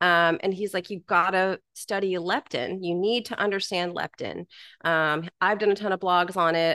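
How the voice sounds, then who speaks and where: A woman with a fairly low pitch and a bright, sharp tone talks at a moderate pace with fairly even intonation. The sound is dry and close with no echo, over a quiet background. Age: 40s. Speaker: health coach. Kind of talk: casual chat.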